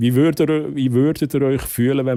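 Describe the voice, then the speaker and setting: A man's dark, mellow voice at a moderate pace, dry and close with no echo, on a very clean recording with a silent background. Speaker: streamer. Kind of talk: live stream chat.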